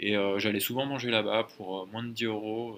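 With a bright, sharp tone, a man keeps a moderate speaking pace. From Burgundy, France. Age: 20s. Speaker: startup founder. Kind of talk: interview. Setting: company office. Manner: hesitant with fillers.

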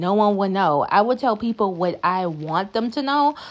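At a moderate pace, a woman with an American accent uses an ordinary speaking voice at medium pitch with lively intonation. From US South. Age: 30s. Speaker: podcast host. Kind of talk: solo casual monologue.

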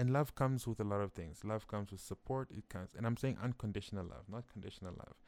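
Speaking very fast with hardly any pauses, a man uses a fairly low pitch. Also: ordinary pitch variation. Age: 20s. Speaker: podcast host. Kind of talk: casual solo monologue. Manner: conversational, with frequent fillers and restarts.

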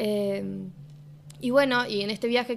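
A woman's medium-pitched voice in a Cordoba accent. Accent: Cordoba sing-song. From Argentina, Córdoba. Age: 20s. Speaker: musician. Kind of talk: casual chat.

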